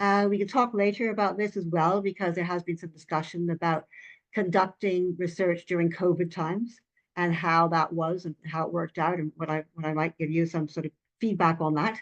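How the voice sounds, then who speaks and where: Speaking at a fairly quick pace with a strong Canadian accent, a woman comes through in a dry, close sound with no echo. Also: fairly low pitch for a woman, fairly even intonation. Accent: Canadian, still strong. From Canada, Vancouver Island. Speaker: retired professor, author. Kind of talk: academic webinar talk. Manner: hesitant with many fillers.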